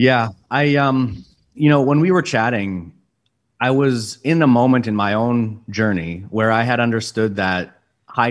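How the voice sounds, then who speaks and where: A man's voice, an unremarkable speaking voice at medium pitch with ordinary pitch variation, comes through on a very clean recording with a silent background. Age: 40s. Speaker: sales executive. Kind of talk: casual interview chat.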